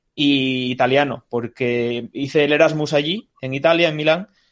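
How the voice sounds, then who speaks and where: Here is a man with a normal speaking voice. His pitch is fairly high, with ordinary variation. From Asturias, Spain. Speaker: podcast co-host. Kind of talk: casual chat.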